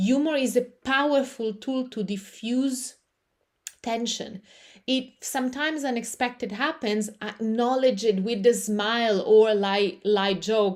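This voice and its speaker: In an Italian accent, a woman speaks fairly slowly at a fairly high pitch with ordinary pitch variation. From Italy. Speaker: yoga teacher and public speaking coach. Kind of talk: live online class. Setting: livestream on camera.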